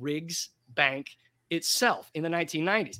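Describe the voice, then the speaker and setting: A man's raised, projected voice with a bright, sharp tone and an American accent, at a moderate pace, on a very clean recording with a silent background. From US West Coast, Portland, Oregon. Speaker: author and journalist. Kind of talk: interview.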